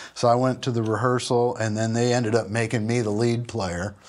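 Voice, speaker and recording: On a very clean recording with a silent background, a man speaks. His pitch sits at medium and his intonation stays fairly even. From US Midwest, Minneapolis. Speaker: session guitarist and pedal steel player. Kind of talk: interview.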